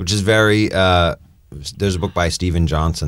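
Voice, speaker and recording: A man talks at a fairly quick pace. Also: very clean recording, silent background. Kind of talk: casual chat. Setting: in studio in person. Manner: mellow in person.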